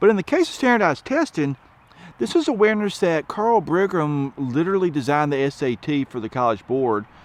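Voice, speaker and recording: A man with a strong Southern accent talks at a fairly quick pace. His fairly high pitch moves in very wide swings. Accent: thick Southern. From US South, rural. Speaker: education advocate. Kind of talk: commentary monologue.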